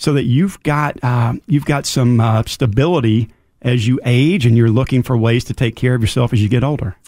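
In a very clean recording with a silent background, a man uses a normal speaking voice at a medium pitch and moderate pace, with ordinary pitch variation and very even loudness. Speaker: financial advisor. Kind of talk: casual interview.

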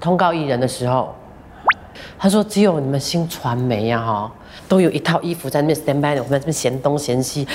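Over noticeable background noise, a woman with a very deep, low pitch speaks at a fairly quick pace with ordinary pitch variation. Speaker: radio host. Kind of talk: casual interview.

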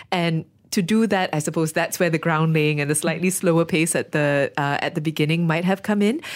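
With an unremarkable speaking voice, a woman talks at a fairly quick pace and fairly low pitch, with fairly even intonation and very even loudness. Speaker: radio host. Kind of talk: book club discussion.

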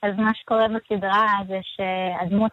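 A woman speaks at a medium pitch, and the sound is dry and close with no echo. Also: fairly bright tone.

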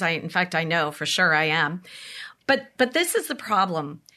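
A woman with an American accent in a bright, sharp tone at a moderate pace, against a quiet background. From San Diego County, California. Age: 50s. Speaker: mayor. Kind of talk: interview.

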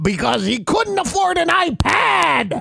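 A man puts on a character voice, speaking at a fairly slow pace with an extremely high pitch. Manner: comic pirate voice.

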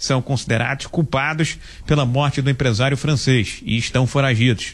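Somewhat breathy, a man speaks with a fairly high pitch. His pace is fairly slow. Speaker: radio reporter. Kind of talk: news report.

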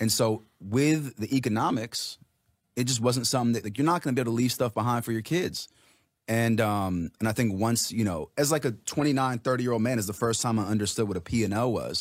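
A man with an American accent speaks at a fairly quick pace in an unremarkable speaking voice, his medium pitch showing ordinary variation, on a very clean recording with a silent background. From Los Angeles, Iranian family. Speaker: musician and producer. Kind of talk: casual radio interview.

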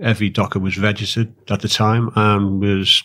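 A fairly low-pitched man in a Liverpool accent speaks with monotone, flat intonation on a very clean recording with a silent background. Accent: Liverpool (Scouse). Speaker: dock worker and union activist. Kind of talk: interview. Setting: studio.

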